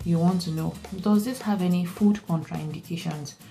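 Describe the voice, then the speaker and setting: Music plays in the background while a woman talks. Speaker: nurse. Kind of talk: study tips presentation. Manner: stuttering, hesitant with fillers.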